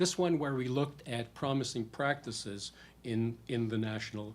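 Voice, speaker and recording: The voice is somewhat breathy, and there is audible room echo. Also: man. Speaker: policy researcher. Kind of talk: conference presentation. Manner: fast.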